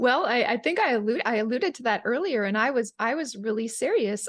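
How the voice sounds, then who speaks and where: With lively intonation and a fairly high pitch, a woman speaks against a quiet background. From Canada, Calgary, Alberta. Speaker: Ayurvedic chef and digestive health coach. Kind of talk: interview.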